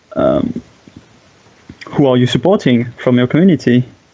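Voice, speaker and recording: With a French accent, a man speaks at a fairly slow pace against noticeable background noise. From France. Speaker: game streamer and commentator. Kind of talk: live game commentary. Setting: live stream. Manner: halting, many fillers.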